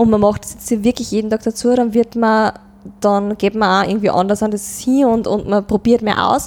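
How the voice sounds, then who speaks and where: A woman with an Upper Austrian accent speaks at a moderate pace in a fairly high, flat monotone over noticeable background noise. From Upper Austria, Mühlviertel (Rohrbach district). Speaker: dialect pop singer-songwriter. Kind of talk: interview conversation.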